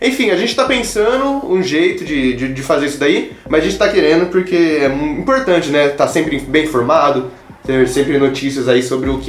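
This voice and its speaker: A man's fairly high voice at a moderate pace with hardly any pauses, plus audible room echo and noticeable background noise. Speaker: podcast host. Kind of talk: casual chat.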